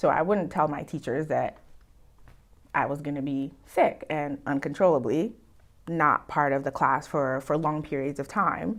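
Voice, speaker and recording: A woman speaks at a fairly slow pace in a very deep, low voice with ordinary pitch variation, on a very clean recording with a silent background. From West Africa. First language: not English (learned English in US). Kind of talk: personal testimony in group conversation. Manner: reflective, hesitant with fillers.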